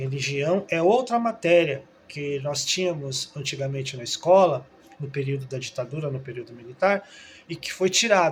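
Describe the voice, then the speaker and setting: A man with a fairly high pitch, lively intonation and a moderate pace, big swings in loudness, over noticeable background noise. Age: 60s. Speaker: trained teacher, video commentator. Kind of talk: opinion monologue. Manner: halting, with frequent filler 'é'.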